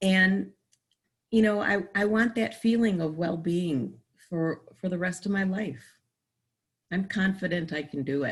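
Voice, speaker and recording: Somewhat breathy, a woman talks at a fairly slow pace, leaving long, frequent pauses. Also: medium pitch for a woman, ordinary pitch variation. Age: 60s. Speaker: patient. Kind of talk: testimony.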